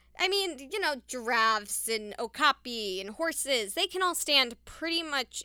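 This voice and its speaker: In a raised, projected voice, a woman with a high pitch speaks at a fairly slow pace in an animated, bright, sharp tone with very wide pitch swings, on a very clean recording with a silent background. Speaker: podcast host and nature center educator. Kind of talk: casual solo monologue.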